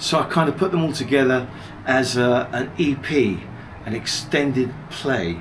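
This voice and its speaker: A man's medium-pitched voice at a fairly slow pace, ordinary pitch variation, audible room echo and noticeable background noise. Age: 70s. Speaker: music producer and DJ. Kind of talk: interview.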